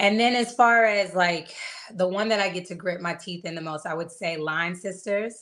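The delivery has a moderate pace, ordinary pitch variation and big swings in loudness. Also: woman, medium pitch for a woman. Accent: American. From Atlanta, US South. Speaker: actress. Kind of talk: casual interview. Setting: video call.

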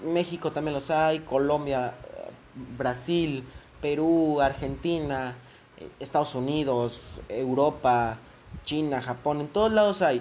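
Speaking with a Mexican accent, a man uses a fairly high pitch, ordinary pitch variation and a fairly slow pace. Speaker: podcast host. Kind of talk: casual news commentary. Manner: informal, conversational.

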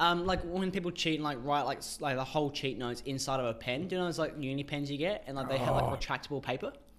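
A man's fairly high voice at a very fast pace, ordinary pitch variation, hardly any pauses, and noticeable background noise. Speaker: podcast co-host; university student. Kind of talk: casual, profane.

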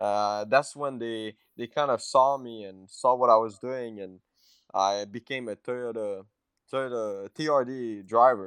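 Against a quiet background, a man at medium pitch speaks at a fairly slow pace, his loudness swinging widely in a dry, close sound with no echo. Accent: Quebec French. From Quebec. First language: French. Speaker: race car driver. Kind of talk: interview. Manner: halting.

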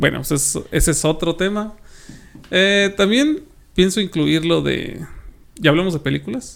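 The speaker is a man with a high pitch and ordinary pitch variation. His speech has long, frequent pauses. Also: fairly slow pace. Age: 30s. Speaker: podcast host. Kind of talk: casual chat.

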